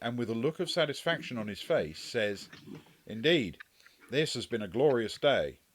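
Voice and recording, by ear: With lively intonation, a natural voice reads aloud.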